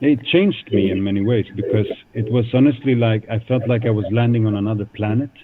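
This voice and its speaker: Talking at a very fast pace with a Swedish accent, a man at a medium pitch keeps a fairly even intonation over noticeable background noise. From Sweden, Stockholm suburbs. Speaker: guest speaker at a school. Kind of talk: talk to school students. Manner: hesitant, many fillers.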